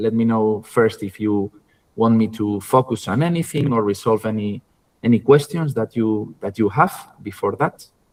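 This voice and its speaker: This is a man with a Spanish accent. His pitch varies in an ordinary way. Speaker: university lecturer. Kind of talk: online lecture. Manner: halting, many fillers and repetitions.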